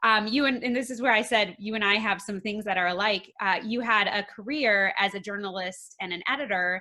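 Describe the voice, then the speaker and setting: Lively intonation colors a normal speaking voice with an American accent. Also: woman. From Minnesota. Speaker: podcast host. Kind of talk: interview.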